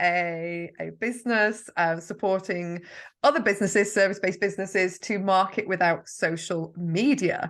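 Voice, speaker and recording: A woman with a Yorkshire accent, bright and sharp in tone, with ordinary pitch variation against a quiet background. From Yorkshire, northern England. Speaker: marketing mentor. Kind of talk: podcast interview. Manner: chatty, talkative.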